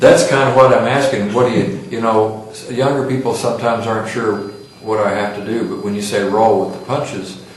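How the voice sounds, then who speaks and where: A man of medium pitch talks at a fairly quick pace, with big swings in loudness. Noticeable background noise and audible room echo fill the recording. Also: ordinary pitch variation. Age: 60s. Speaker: interviewer. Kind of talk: oral history interview.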